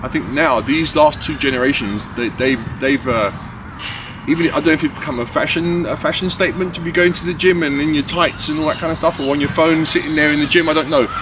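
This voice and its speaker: A very fast man's voice with an American accent, ordinary pitch variation and noticeable background noise. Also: fairly high pitch for a man. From New York, US. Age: 60s. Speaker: podcast host, fitness trainer. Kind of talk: casual conversation.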